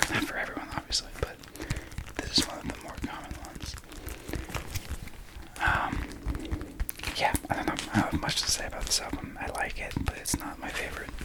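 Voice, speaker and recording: A man whispering over noticeable background noise. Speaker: ASMR creator. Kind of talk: ASMR talk to camera about record collection. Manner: whispering, soft-spoken.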